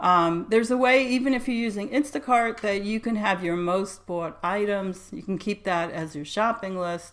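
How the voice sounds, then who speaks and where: An unremarkable speaking voice at a moderate pace, with hardly any pauses and ordinary pitch variation. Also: woman, medium pitch for a woman. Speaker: dietitian. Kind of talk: webinar presentation.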